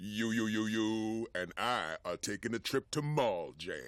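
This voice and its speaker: A man does a cartoonish character voice at a medium pitch and moderate pace in a very clean recording with a silent background. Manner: emphatic, booming.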